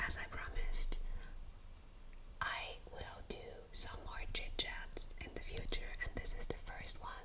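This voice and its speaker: A woman whispers in a soothing tone at a fairly slow pace. Noticeable background noise can be heard. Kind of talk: ASMR whispered chit chat. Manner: whispered, soothing.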